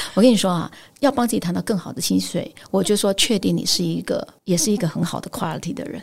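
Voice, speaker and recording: A woman talks at a very fast pace with lively intonation. Her medium-pitched voice has vocal fry. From Taiwan, Pingtung. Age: 50s. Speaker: headhunting firm founder. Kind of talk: interview.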